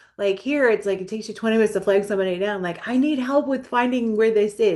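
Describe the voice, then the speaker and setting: Speaking at a very fast pace in an animated tone, a woman with an American accent uses a medium pitch and ordinary pitch variation. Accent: New York accent, thick among the right people. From New York. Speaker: mental health counselor, podcast co-host. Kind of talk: casual chat. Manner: animated, lots of fillers.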